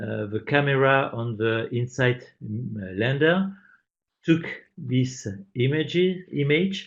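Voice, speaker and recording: A somewhat breathy man with a French accent, at medium pitch and a very slow pace, with lively intonation and long, frequent pauses. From France. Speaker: science teacher. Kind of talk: webinar presentation. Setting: online webinar. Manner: hesitant, many fillers.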